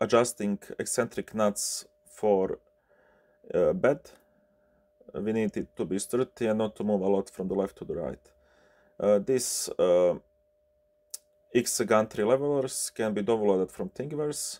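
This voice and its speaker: A man with a Bosnian accent, medium pitch, and a dark, mellow tone at a fairly slow pace with long, frequent pauses, ordinary pitch variation, and a dry, close sound with no echo. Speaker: 3D printer repair technician. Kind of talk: tutorial. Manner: halting, many fillers.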